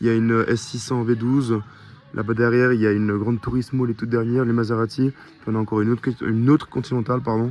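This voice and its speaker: Noticeable background noise sits behind a man who speaks very fast at a medium pitch. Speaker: car vlogger. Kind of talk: vlog commentary. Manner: animated.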